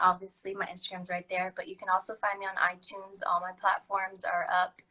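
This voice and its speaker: A woman speaks in a bright, sharp tone. She has an American accent. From Texas (Corpus Christi). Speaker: singer. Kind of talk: casual live-stream chat. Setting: Instagram live video call.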